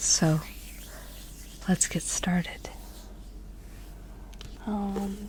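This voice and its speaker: Noticeable background noise accompanies a soft-spoken woman as she talks. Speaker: ASMR artist. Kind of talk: ASMR book ramble, casual talk to camera. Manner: soft-spoken, relaxing.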